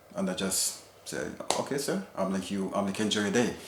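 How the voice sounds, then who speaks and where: Over noticeable background noise and audible room echo, a man talks at a fairly low pitch with ordinary pitch variation. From Jamaica. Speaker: husband sharing his experience. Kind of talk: personal testimony in casual interview. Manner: halting, many fillers.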